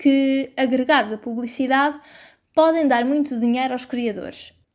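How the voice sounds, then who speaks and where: In a very clean recording with a silent background, a woman talks at a moderate pace in a European Portuguese accent, her high pitch held to fairly even intonation. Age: 20s. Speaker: journalist and podcast host. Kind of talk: scripted narration.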